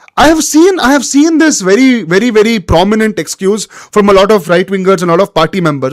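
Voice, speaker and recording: A man with a Kannada accent speaks very fast at a high pitch. His tone is animated and his intonation lively. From India, Bangalore (Karnataka). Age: 20s. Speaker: political commentator. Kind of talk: live-stream political monologue. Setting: live stream with chat.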